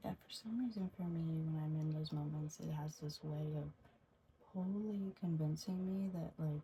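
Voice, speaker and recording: A soft-spoken, somewhat breathy woman's voice, very deep and low in pitch with ordinary variation, dark and mellow in tone, at a moderate pace. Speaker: ASMR creator's sister. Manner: soft-spoken, reflective.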